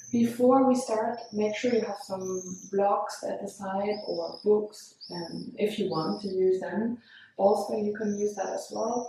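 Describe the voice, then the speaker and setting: A woman with a non-native accent and medium pitch speaks at a very slow pace in a calm tone with fairly even intonation, and audible room echo is present. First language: not English. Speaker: yoga teacher. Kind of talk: guided yoga class. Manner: slow, calm.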